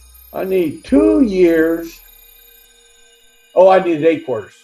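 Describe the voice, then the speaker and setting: Over music in the background, a man with a high pitch speaks with long, frequent pauses. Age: 70s. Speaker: retiree. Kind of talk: casual chat. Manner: animated.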